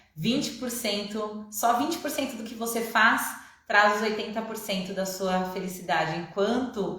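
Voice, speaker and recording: Amid noticeable background noise and audible room echo, a woman talks at a moderate pace and medium pitch. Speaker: online coach. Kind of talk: live online class. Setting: Instagram live stream.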